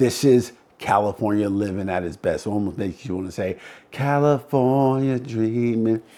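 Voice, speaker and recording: Speaking at a moderate pace, a man has a dark, mellow tone at medium pitch. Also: ordinary pitch variation. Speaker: real estate agent. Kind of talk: video walkthrough presentation. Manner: enthusiastic.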